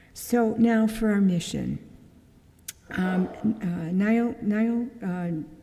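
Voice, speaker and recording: Audible room echo and noticeable background noise surround a woman with a fairly high voice. She speaks at a very slow pace with long, frequent pauses. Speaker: church member giving mission talk. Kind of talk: church mission presentation. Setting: church service. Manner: casual, with many fillers.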